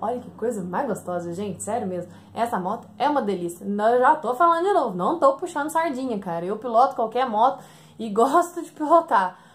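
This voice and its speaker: A woman talks at a fairly quick pace in an animated tone, her pitch swinging very widely. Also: big swings in loudness. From rural Brazil. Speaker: motorcycle vlogger. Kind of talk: casual vlog review.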